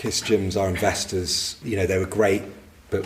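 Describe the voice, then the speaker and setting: Noticeable background noise and audible room echo surround a man whose very deep, low voice stays monotone and flat at a fairly quick pace. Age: 50s. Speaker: business owner. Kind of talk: interview. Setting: live event with audience. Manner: halting.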